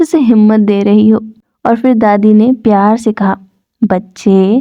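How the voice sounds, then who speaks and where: Soft-spoken, a woman talks at a fairly high pitch with fairly even intonation. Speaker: audiobook narrator. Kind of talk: sleep story. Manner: soft-spoken, slow.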